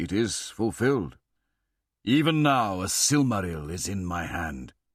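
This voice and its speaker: Using a put-on character voice, a man speaks at a moderate pace in a fairly low pitch, his pitch swinging very widely. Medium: read story.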